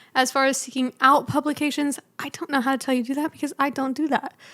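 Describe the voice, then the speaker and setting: A woman talks at a fairly quick pace in a high voice with a bright, sharp tone, the sound dry and close with no echo. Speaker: photographer and podcast host. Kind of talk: advice podcast monologue. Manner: fast; casual, chatty.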